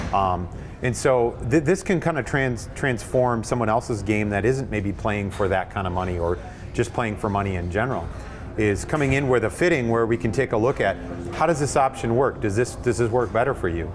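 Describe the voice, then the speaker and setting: A man speaks at a fairly quick clip with lively intonation. Music plays in the background. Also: medium pitch for a man. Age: younger than 64. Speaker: golf club fitter. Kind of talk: in-store seminar discussion. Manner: halting, many fillers.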